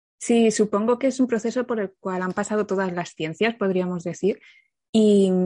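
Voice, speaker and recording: In a dry, close sound with no echo and a quiet background, a woman with an ordinary speaking voice talks at medium pitch and a fairly quick pace. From Catalonia, Spain. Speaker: criminologist and content creator. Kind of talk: casual interview.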